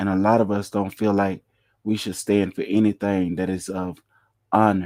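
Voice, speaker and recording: In a very clean recording with a silent background and a dry, close sound with no echo, a man speaks at a fairly low pitch in a monotone, flat intonation. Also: moderate pace. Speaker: religious livestream preacher. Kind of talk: sermon. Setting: live stream.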